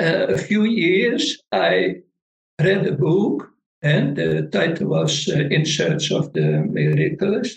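A man speaks with a Dutch accent. His pace is very slow. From northern Netherlands. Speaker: meditation teacher. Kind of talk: interview.

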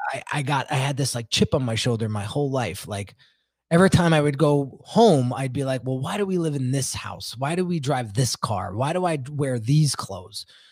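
A man's medium-pitched voice sounds somewhat breathy. He speaks at a moderate pace with lively intonation. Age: 40s. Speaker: branding specialist. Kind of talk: interview. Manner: casual.

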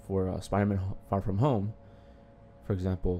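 Music plays in the background as a man talks at a moderate pace. His pitch sits fairly low. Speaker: podcast co-host. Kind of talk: casual chat.

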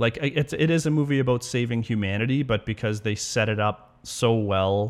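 A man is heard speaking over a quiet background. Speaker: podcast host. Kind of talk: casual chat. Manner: fast.

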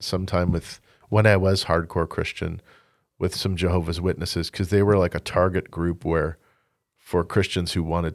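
A man talks in a very deep, low pitch on a very clean recording against a silent background. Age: 40s. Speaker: folk-rock singer-songwriter. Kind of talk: casual chat. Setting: studio.

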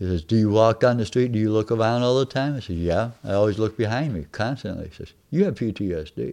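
A man talks at a very fast pace in a dark, mellow tone. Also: medium pitch for a man, ordinary pitch variation, hardly any pauses, quiet background. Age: 70s. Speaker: war veteran. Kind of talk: interview. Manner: halting.

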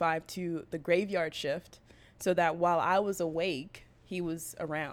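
A woman with an American accent speaks at a moderate pace and a fairly low pitch, her intonation monotone and flat, in a very clean recording with a silent background. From US West Coast, Bay Area (Berkeley). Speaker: scrum master. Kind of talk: casual chat.

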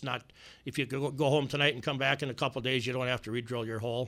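Here is a man with an Upper Midwest accent. His voice sits at medium pitch and has a bright, sharp tone. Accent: Upper Midwest American. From US Midwest. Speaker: inventor. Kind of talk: interview. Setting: studio.

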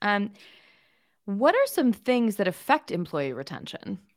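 In an American accent, the speaker sounds enthusiastic, with lively intonation and a moderate pace, on a very clean recording with a silent background. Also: woman. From California, Pasadena. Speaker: podcast host. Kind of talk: interview.

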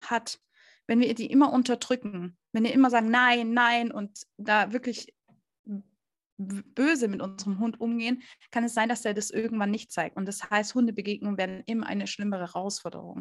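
A woman with a plain, everyday voice talks at a fairly high pitch and moderate pace, her intonation fairly even. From Stuttgart, southwestern Germany. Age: 20s. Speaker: dog trainer and behaviour consultant. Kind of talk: interview.

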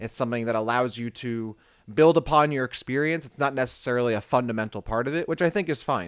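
At a very fast pace, a man speaks at a medium pitch with ordinary pitch variation, the sound dry and close with no echo. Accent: American. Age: 20s. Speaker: video game podcast co-host. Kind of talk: casual chat.

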